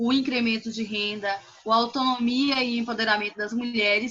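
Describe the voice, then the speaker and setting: This is a plain, everyday voice, its intonation fairly even and its pace moderate. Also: woman. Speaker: finance consultant. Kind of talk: online presentation. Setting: video call.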